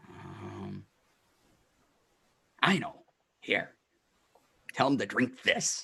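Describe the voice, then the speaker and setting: In a put-on character voice, a man speaks raspy and medium-pitched at a very slow pace with long, frequent pauses. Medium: actual play. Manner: scattered, friendly.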